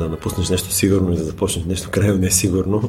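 Flat and monotone, a man's very deep, low voice carries his words. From Bulgaria. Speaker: wine merchant and former sommelier. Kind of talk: casual chat.

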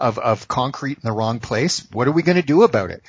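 Somewhat breathy, a man with an American accent speaks fairly quickly at a fairly high pitch, with lively intonation. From US Northeast, Boston area. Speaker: education professor. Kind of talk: interview. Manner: animated.

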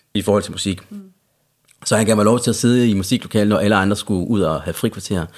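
In a very clean recording with a silent background, a man speaks very fast with a fairly low pitch. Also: ordinary pitch variation. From Central Jutland, Denmark. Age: 30s. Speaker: recovering addict. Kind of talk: casual chat.

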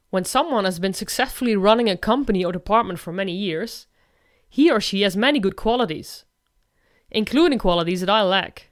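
Medium in pitch, a woman speaks fairly quickly in a plain, everyday voice with lively intonation. The recording is very clean, with a silent background. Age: 40s. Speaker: independent consultant. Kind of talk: scripted narration.

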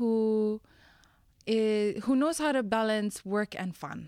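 In a very clean recording with a silent background, a woman speaks at a fairly high pitch with a dark, mellow tone. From Fiji. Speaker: recent university graduate. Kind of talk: casual interview. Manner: energetic.

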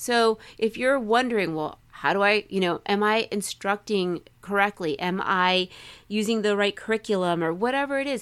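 A woman with a normal speaking voice talks at a moderate pace, at medium pitch with ordinary pitch variation. The recording is very clean, with a silent background. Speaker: podcast co-host. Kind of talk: casual podcast chat.

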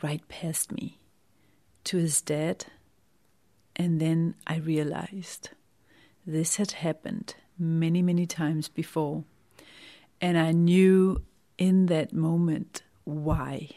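Speaking very slowly with long, frequent pauses, a woman with a Danish accent has a fairly low pitch, a dark, mellow tone and fairly even intonation. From Denmark. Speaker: wellness author and podcaster. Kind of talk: personal testimony monologue.

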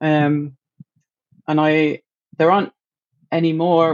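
A woman talks with a British accent. Her pitch is very deep and low. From UK. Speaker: marine mammal researcher. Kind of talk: casual interview chat.

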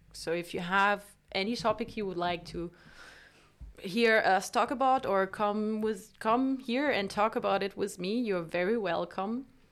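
A woman speaks at a fairly slow pace with a French accent. The recording is very clean, with a silent background. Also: medium pitch for a woman, ordinary pitch variation. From France. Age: 20s. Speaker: podcast host. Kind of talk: casual monologue. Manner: halting.

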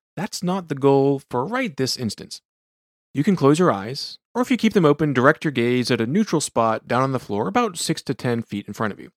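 An unremarkable speaking voice from a man at medium pitch, fairly quick, with lively intonation and big swings in loudness. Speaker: sleep physician podcast host. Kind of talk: guided meditation.

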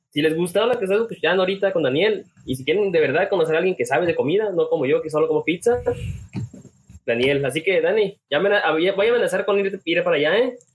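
With a Mexican accent, a man speaks at a very fast pace, using a high pitch and ordinary pitch variation. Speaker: podcast host. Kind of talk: casual chat.

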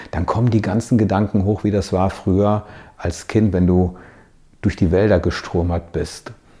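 A man speaks in a plain, everyday voice at a fairly low pitch, with fairly even intonation and a moderate pace. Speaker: coach. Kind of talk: motivational video monologue.

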